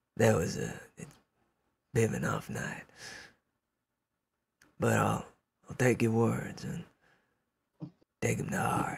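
In a put-on character voice, a man speaks raspy and very deep at a fairly slow pace, with long, frequent pauses. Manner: friendly, a bit sheepish.

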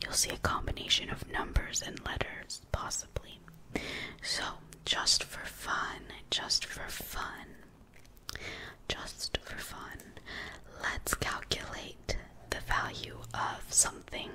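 Whispering and soft-spoken, the voice moves at a very slow pace with long, frequent pauses over light background noise. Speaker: tutor. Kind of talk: tutorial. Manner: soft ASMR whisper while explaining. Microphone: phone near.

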